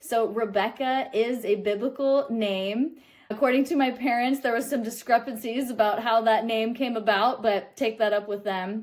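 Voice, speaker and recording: With a Midwestern American accent, a woman speaks at a fairly high pitch and fairly even intonation. The recording is very clean, with a silent background. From Kansas City, Kansas. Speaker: metaphysical student, spiritual teacher. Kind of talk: spiritual reflection talk to camera.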